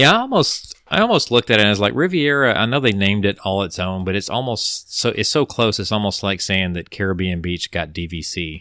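On a very clean recording with a silent background, a man with a fairly low pitch and a bright, sharp tone speaks with lively intonation and hardly any pauses. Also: fairly quick pace. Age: 40s. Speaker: podcast host. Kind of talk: casual chat.

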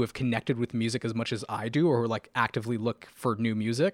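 Very fast speech from a man comes through dry and close with no echo, on a very clean recording against a silent background. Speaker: music YouTuber. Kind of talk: casual chat. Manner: enunciates clearly; professional-sounding.

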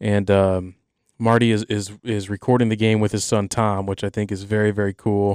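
In a very clean recording with a silent background and a dry, close sound with no echo, a man speaks at a moderate pace with a fairly low pitch and monotone, flat intonation. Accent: American. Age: 20s. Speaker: sports podcast host. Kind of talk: casual solo sports talk. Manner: halting, many fillers and restarts.

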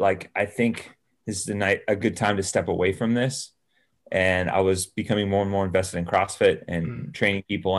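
With an American accent, a man speaks fairly quickly in a fairly low, plain, everyday voice with ordinary pitch variation, recorded very cleanly against a silent background. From California central coast (Salinas). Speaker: fitness podcast co-host and athlete. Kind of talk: casual interview chat.

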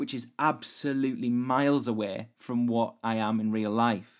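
A man with an ordinary speaking voice at medium pitch, fairly even intonation, and a very clean recording with a silent background. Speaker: podcast host. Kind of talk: solo educational podcast monologue.

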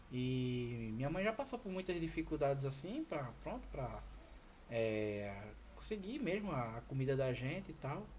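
Noticeable background noise runs under this clip. A man speaks at a medium pitch and fairly slow pace, with lively intonation. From Brazil, Pernambuco (Recife/Olinda). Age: 30s. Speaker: truck driver. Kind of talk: interview. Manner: halting.

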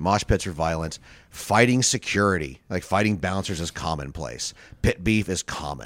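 On a very clean recording with a silent background, a man speaks with a very deep, low pitch. His intonation is lively, and vocal fry runs through his voice. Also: moderate pace. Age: 40s. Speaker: stand-up comedian. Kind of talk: casual chat.

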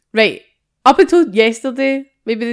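With a Scottish accent, a woman talks in a high pitch, her animated tone and lively intonation captured in a very clean recording with a silent background. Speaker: podcast co-host. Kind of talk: casual chat.

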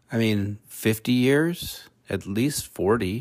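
A man speaks quietly and very slowly with ordinary pitch variation, on a very clean recording with a silent background. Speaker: podcast host. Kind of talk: casual monologue. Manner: quieter to spare throat.

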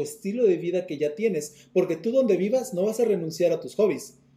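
A dark, mellow tone comes at a moderate pace with ordinary pitch variation. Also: man. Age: 30s. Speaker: property management business owner. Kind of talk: interview. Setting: video call.

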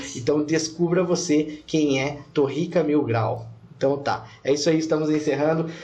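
A man's somewhat breathy voice sits at a fairly high pitch. He keeps a moderate pace amid audible room echo. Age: 30s. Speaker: podcast host. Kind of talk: casual interview. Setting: studio.

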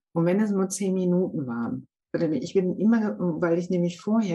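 Moving fairly quickly, this somewhat breathy voice has a dark, mellow tone. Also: woman. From Germany, Münsterland. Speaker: podcast host, stem cell recipient. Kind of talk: casual interview. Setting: video call.

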